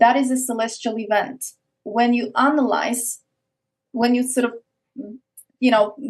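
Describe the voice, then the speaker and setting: A woman speaks at high pitch with an Eastern European accent. Her intonation is monotone and flat, her pace moderate. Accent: Eastern European, noticeable. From Poland. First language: Polish. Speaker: spiritual teacher on esoteric topics. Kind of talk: podcast interview, explanatory monologue.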